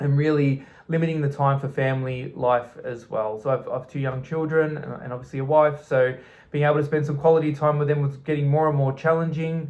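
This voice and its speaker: A man with an Australian accent talks at a fairly quick pace. His fairly high voice stays monotone and flat. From southeastern Australia. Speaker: expat vlogger. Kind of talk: personal vlog talk. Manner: halting, many fillers.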